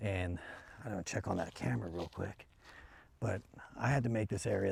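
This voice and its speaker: A man speaks quietly in a very deep, low voice with a dark, mellow tone and vocal fry. His pitch varies in an ordinary way. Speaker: business owner and hobby rancher vlogger. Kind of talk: casual vlog narration. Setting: outdoors. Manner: hushed, quiet.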